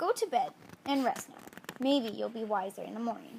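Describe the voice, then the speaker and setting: Using a put-on character voice, a woman speaks in a croaky, high pitch at a moderate pace. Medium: read story.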